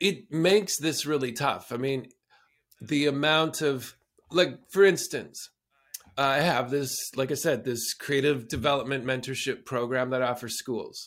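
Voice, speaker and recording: The delivery is fairly slow, with a Canadian accent, ordinary pitch variation and a normal speaking voice. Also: man, fairly high pitch for a man. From southern Alberta, Canada. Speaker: performer and producer. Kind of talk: interview.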